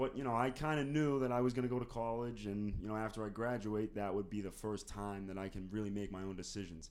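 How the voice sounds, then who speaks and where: Talking at a very fast pace with hardly any pauses, a man with an American accent has a fairly low pitch and ordinary pitch variation. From US Northeast (North Andover, Massachusetts). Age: 20s. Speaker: college student. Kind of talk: casual interview.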